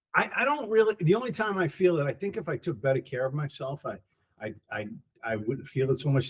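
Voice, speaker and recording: At a very fast pace, a somewhat breathy man with an American accent speaks at a fairly high pitch, making very wide pitch swings. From New York, Queens. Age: 60s. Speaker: podcast host. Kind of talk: casual chat. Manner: halting.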